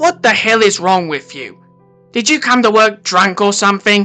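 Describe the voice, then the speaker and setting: Faint music plays behind a put-on character voice that sounds female. The pitch is medium for a woman, and the pace is moderate. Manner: yelling, angry.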